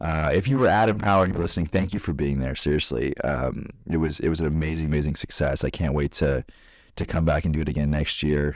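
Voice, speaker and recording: On a very clean recording with a silent background, a man talks very fast in a very deep, low voice, with ordinary pitch variation and very even loudness. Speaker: podcast host. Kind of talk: casual chat.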